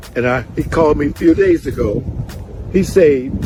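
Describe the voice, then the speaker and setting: A man with an American accent and a fairly high pitch, music in the background. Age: 80s+. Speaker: landowner in a land dispute. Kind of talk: testimony.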